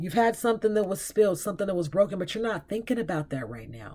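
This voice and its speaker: Recorded very cleanly against a silent background, a woman talks at a medium pitch. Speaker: tarot reader. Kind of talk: tarot reading. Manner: fast; halting.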